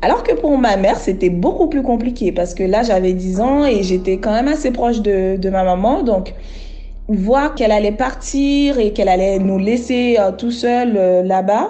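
Amid audible room echo and noticeable background noise, a woman talks at a fairly slow pace and fairly high pitch, with very even loudness and ordinary pitch variation. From Haiti. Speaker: interviewee sharing life story. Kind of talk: testimony. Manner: halting.

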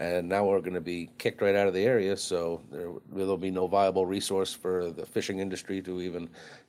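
In a Maine accent, a man talks very fast with a very deep, low pitch and monotone, flat intonation. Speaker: commercial fisherman. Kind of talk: interview.

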